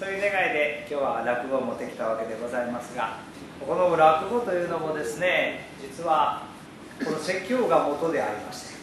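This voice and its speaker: A man at a moderate pace, his pitch swinging very widely, with audible room echo and noticeable background noise. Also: fairly high pitch for a man. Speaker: Buddhist preacher. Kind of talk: sermon talk to temple audience. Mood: cheerful, smiling. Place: church. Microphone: camera far.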